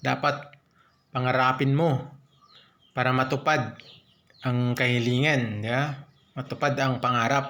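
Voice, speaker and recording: Speaking at a fairly slow pace, a man has a bright, sharp tone and a monotone, flat intonation. His loudness stays very even, with long, frequent pauses. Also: medium pitch for a man. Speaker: stroke survivor vlogger. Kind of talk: motivational vlog narration during exercise.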